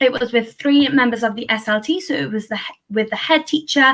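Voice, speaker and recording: A high-pitched female voice, bright and sharp in tone, at a moderate pace with ordinary pitch variation. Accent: Welsh. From south Wales. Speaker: early career teacher. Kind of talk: talk at an online panel event.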